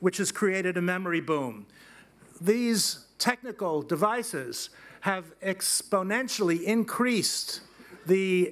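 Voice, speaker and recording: A man's voice, high in pitch, with ordinary pitch variation. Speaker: invited lecturer. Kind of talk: lecture. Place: hall. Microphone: podium.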